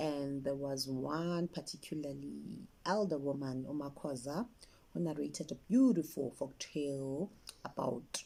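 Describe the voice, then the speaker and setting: A woman's very deep, low-pitched voice with a dark, mellow tone, a South African accent, ordinary pitch variation and a fairly slow pace. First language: isiZulu. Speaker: children's author and story collector. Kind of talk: interview talk about her work.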